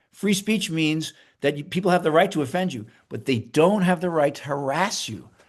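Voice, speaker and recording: A man with a fairly high voice speaks in a lively, bouncy intonation against a quiet background. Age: 60s. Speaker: university president. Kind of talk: interview. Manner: halting, many repetitions.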